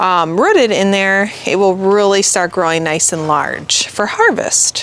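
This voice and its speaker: Noticeable background noise sits behind a woman with a Midwestern accent. She speaks at a fairly slow pace. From US Midwest. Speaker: gardener and channel host. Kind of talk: garden tour walkthrough. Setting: outdoors in the garden. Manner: casual, chatty.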